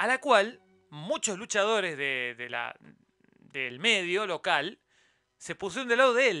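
In a dry, close recording with no echo, a man with a high voice speaks fairly slowly in a raised, projected way, his bright, sharp tone swinging very widely in pitch between long, frequent pauses. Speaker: YouTube news commentator. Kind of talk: solo news roundup commentary. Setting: live stream with chat.

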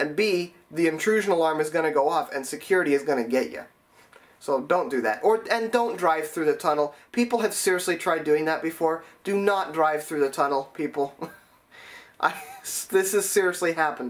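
The intonation is lively. A man delivers it at a moderate speed. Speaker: transit enthusiast vlogger. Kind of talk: explainer vlog. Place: home room.

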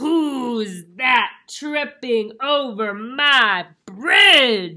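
A female-sounding, put-on character voice bellows in a high pitch. It moves at a very slow pace with hardly any pauses. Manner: roaring.

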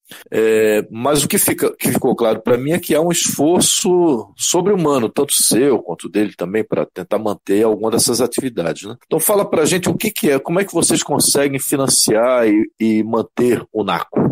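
At a moderate pace, a man's voice makes very wide pitch swings, recorded dry and close with no echo. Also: medium pitch for a man, hardly any pauses. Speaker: community radio host. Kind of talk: radio interview.

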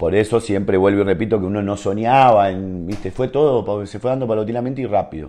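A man with an Argentine accent talks at a very fast pace with hardly any pauses. His fairly low voice has a dark, mellow tone and ordinary pitch variation. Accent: Rioplatense Argentine Spanish. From Argentina. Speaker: professional footballer; guest. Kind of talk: casual interview chat. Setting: at his home. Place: home room.

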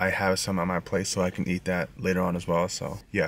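A man is heard in a dry sound with no echo. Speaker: vlogger. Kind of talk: casual vlog chat, food review. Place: car.

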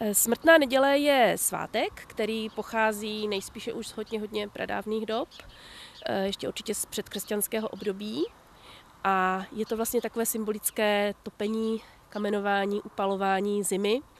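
The woman's speech moves at a moderate pace with fairly even intonation, and the sound is dry with no echo. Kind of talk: interview answer. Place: garden. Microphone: handheld.

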